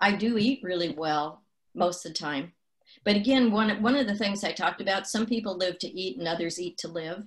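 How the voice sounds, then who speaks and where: Somewhat breathy, a woman with an American accent speaks at a medium pitch with ordinary pitch variation. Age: 70s. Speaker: nutrition expert. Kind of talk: interview.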